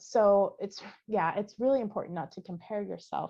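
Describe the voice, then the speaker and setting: This is a woman's voice. Its pitch variation is ordinary. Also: quiet background. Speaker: podcast co-host. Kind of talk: casual chat. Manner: many fillers and hesitations.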